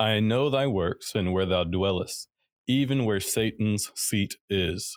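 In an ordinary speaking voice, a man talks at a fairly slow pace and fairly low pitch. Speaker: co-host Bible teacher. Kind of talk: live Bible study discussion. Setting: live stream.

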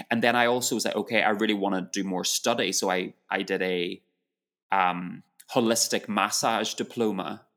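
A man with a British accent speaks at a moderate pace. His pitch is fairly low and his intonation fairly even. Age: 40s. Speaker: yoga teacher. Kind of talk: interview.

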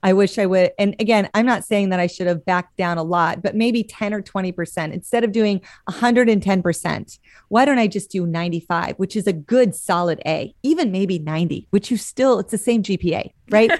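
A woman with a plain, everyday voice and an American accent speaks at a medium pitch with ordinary pitch variation, at a fairly quick pace with hardly any pauses, in a dry, close sound with no echo on a very clean recording with a silent background. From Montana. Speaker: church leadership consultant. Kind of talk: casual chat.

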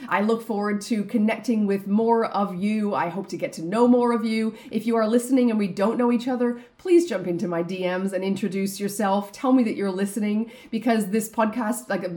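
A woman talks at a fairly quick pace and a medium pitch, with ordinary pitch variation. Noticeable background noise is present. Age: 40s. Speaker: business coach and podcast host. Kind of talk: solo podcast monologue.

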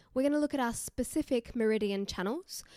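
A dark, mellow voice with an Australian accent and ordinary pitch variation comes through a dry, close sound with no echo, on a very clean recording with a silent background. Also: woman. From Newcastle, Australia. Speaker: yoga teacher and podcaster. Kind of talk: casual solo podcast monologue. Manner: conversational, informal.

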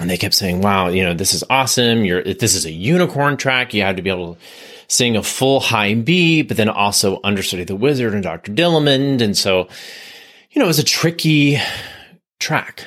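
The recording is very clean with a silent background. A man speaks at a fairly low pitch and a fairly quick pace, his pitch swinging very widely. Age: 40s. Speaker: podcast host and Broadway actor. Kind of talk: casual monologue.

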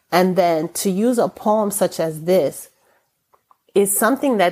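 A woman with an American accent speaks at a fairly slow pace in a normal speaking voice. Her pitch is medium, with ordinary variation. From New York City, Brooklyn. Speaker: retired teacher and poet. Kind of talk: poetry reading and interview.

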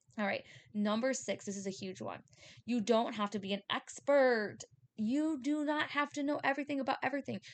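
A woman talks loudly at a high pitch and a fairly quick pace. Her tone is animated, with ordinary pitch variation. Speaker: spiritual podcast host and medium. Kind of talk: solo monologue podcast. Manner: fast; loud, animated.

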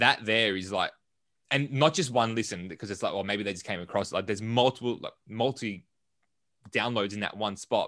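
Fairly low-pitched male voice with an Australian accent, ordinary pitch variation and a fairly quick pace against a quiet background. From Melbourne, Australia. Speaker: entrepreneur and business coach. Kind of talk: casual interview.

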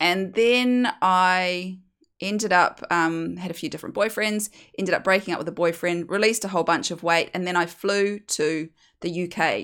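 A woman speaks with a New Zealand accent in a fairly low voice. Her pace is moderate, her pitch varies in an ordinary way, and the recording is very clean with a silent background. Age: 40s. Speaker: hypnosis weight coach and podcast host. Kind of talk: solo monologue sharing personal story.

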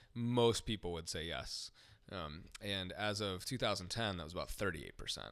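A man with an American accent talks at a moderate pace. His pitch is fairly low, with ordinary pitch variation. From US Midwest, Ohio. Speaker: pastor. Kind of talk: casual interview.

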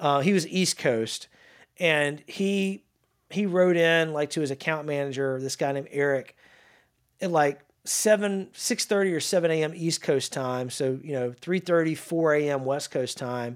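A man with a Louisiana accent, fairly high pitch, ordinary pitch variation and moderate pace, in a very clean recording with a silent background. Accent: Southern US (Louisiana). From North Louisiana, small town near Shreveport. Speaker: sales executive. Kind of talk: interview. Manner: casual, animated.

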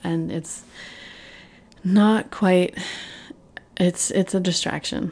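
Fairly even in intonation, a woman speaks at a medium pitch in a dark, mellow tone. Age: 40s. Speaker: podcast host. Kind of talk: casual monologue. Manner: halting.

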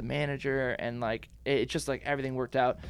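This man's voice sits at a medium pitch. He speaks in a flat, monotone way. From Washington State, moved around US. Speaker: graphic designer. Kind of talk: casual interview chat. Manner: fast talker, amped.

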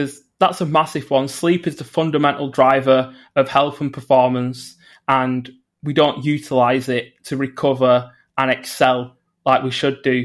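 A man with a northern English accent talks at medium pitch and a fairly slow pace in a monotone, flat intonation. The recording is very clean, with a silent background. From northern England. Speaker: environmental psychologist. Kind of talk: interview.

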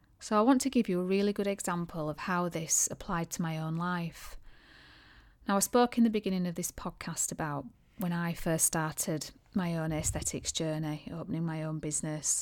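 In a very clean recording with a silent background, a woman has a plain, everyday voice, fairly low in pitch with ordinary pitch variation, at a moderate pace. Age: 40s. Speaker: podcast host and aesthetics clinic owner. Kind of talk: solo podcast monologue.

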